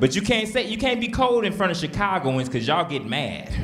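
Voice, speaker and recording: A man with an American accent speaks at a high pitch and a fairly quick pace. His intonation is lively, and audible room echo is heard. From Houston, Texas. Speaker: stand-up comedian. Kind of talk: stand-up. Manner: animated.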